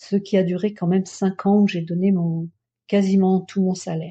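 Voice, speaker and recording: A woman speaks at a moderate pace in a somewhat breathy, dark and mellow voice of medium pitch, with monotone, flat intonation over a quiet background. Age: 60s. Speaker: Buddhist practitioner. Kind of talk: testimony. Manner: halting.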